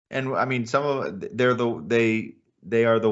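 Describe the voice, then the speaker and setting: With an American accent, the speaker keeps to a moderate pace. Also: man. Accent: normal American. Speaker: podcast co-host. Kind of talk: casual chat.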